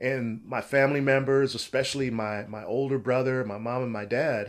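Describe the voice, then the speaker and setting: In an ordinary speaking voice, a man of medium pitch speaks at a moderate pace on a very clean recording with a silent background. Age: 50s. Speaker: respiratory therapist. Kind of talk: interview.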